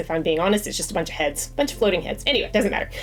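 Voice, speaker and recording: With noticeable noise behind her, the woman talks in a medium pitch. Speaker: crochet and movie vlogger. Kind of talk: casual vlog talk. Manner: fast.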